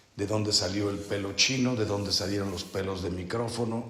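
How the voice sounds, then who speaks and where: Fairly slow, fairly low-pitched speech from a man with a Mexican accent, fairly even intonation and audible room echo. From Mexico. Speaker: priest leading a spiritual retreat. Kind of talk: retreat meditation talk. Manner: slow, deliberate.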